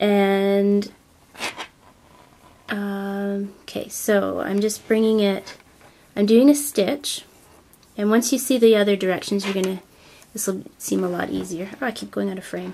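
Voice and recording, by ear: A woman speaks at medium pitch in a dark, mellow, nasal tone with vocal fry. Her pace is fairly slow, with little pitch movement and long, frequent pauses.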